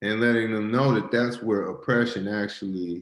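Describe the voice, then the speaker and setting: Fairly low pitch and ordinary pitch variation from a man. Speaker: poet and educator. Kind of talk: discussion answer. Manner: halting, many fillers.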